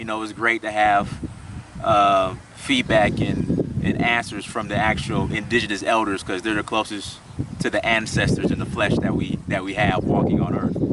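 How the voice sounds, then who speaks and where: Noticeable background noise sits behind a man's fairly low voice. His delivery is monotone and flat at a moderate pace. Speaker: travel vlogger, interviewer. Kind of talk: casual talk to camera.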